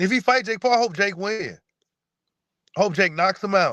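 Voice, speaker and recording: With ordinary pitch variation, a man speaks in a dry, close sound with no echo. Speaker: boxing commentator livestreamer. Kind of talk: live stream chat. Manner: casual, animated.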